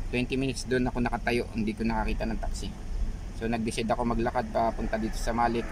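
Against noticeable background noise, a man races along at a very fast pace in a dry sound with no echo. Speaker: vlogger. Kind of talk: casual vlog chat. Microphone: phone near.

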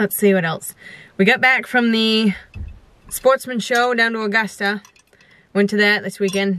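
A woman speaks at a fairly slow pace with fairly even intonation, in a dry sound with no echo. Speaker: vlogger. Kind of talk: casual vlog chat. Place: car. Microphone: camera far.

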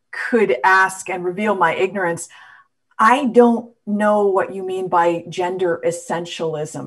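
An ordinary speaking voice at a fairly slow pace, with ordinary pitch variation and big swings in loudness, against a quiet background. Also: woman. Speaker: journalist and panel moderator; journalist, panel moderator. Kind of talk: panel discussion. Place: home room. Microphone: video call.

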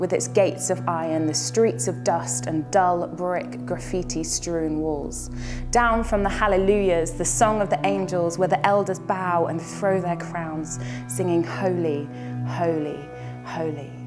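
Clear music plays in the background as a woman with a very deep, low pitch speaks at a fairly slow pace with lively intonation. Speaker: spoken word poet. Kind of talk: spoken word poetry performance. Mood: earnest, expressive, hopeful. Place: home room.

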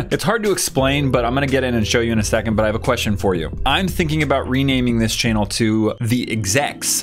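Over clear music in the background, a man talks at a very fast pace with hardly any pauses. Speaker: channel host. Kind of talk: casual vlog chat. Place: studio.

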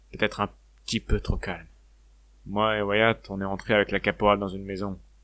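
Over a very clean recording and silent background, a man speaks in a fairly low pitch with monotone, flat intonation. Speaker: fan-fiction voice actor playing a recruit. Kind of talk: sci-fi audio drama, in-character narration. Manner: earnest, reflective, conversational.

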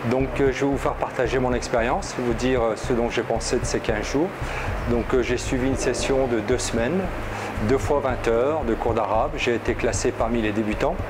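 There is noticeable background noise behind the speaker. A man talks at a moderate pace. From France. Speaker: student of Arabic giving testimonial. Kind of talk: video testimonial review. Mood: positive, calm. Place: office. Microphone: lapel.

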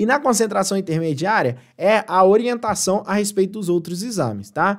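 A man's animated, high-pitched voice at a moderate pace, with ordinary pitch variation, over a quiet background. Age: 20s. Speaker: exam prep tutor. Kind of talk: live stream tutorial. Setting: live stream. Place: home room.

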